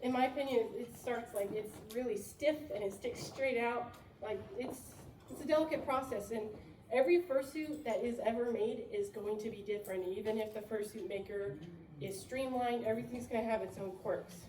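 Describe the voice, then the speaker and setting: There is audible room echo and noticeable background noise as a woman speaks fairly quickly in a fairly high pitch with ordinary pitch variation. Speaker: fursuit maker. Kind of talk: workshop talk. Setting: convention panel with audience. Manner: fast; animated.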